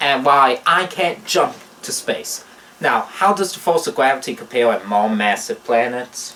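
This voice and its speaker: At a fairly slow pace, a man with a fairly high pitch speaks with very wide pitch swings. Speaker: physics educator, presenter. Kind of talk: educational explainer to camera.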